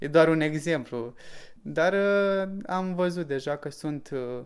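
Very slow speech from a man, his pitch varying in an ordinary way. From Romania, Suceava. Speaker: local entrepreneur. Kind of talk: interview.

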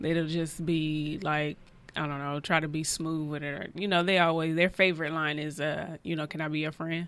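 A woman with an American accent speaks at a very deep, low pitch and a moderate pace in a monotone, flat intonation. The recording is very clean, with a silent background. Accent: sounds somewhat country. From California. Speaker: podcast co-host. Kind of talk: casual chat.

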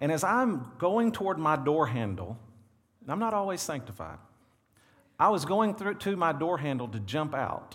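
In a room with audible echo, a man speaks with a Southern US accent at a fairly high pitch. His pitch swings very widely, and his pace is moderate. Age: 40s. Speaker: pastor. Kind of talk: sermon. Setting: church. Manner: animated.

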